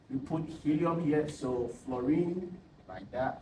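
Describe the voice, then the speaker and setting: A man with a non-native accent speaks at medium pitch with lively intonation. Background noise is noticeable, and the room echoes audibly. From Ghana. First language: not English. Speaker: tutor. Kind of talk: tutorial. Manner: halting.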